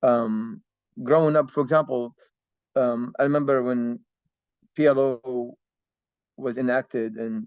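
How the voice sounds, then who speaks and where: In a dry, close recording with no echo, a man talks at a fairly slow pace with fairly even intonation and long, frequent pauses. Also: medium pitch for a man. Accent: Arabic. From Palestinian family, raised in Kuwait and Jordan. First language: Arabic. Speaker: guest speaker on Palestinian history. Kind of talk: Q&A talk, informal lecture. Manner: hesitant, many fillers and repetitions.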